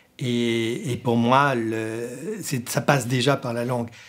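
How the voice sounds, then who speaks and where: A man with an Alsatian accent. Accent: Sundgau Alsatian. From Sundgau, southern Alsace, France. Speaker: radio programme director. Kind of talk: interview monologue. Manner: halting, with many hesitations.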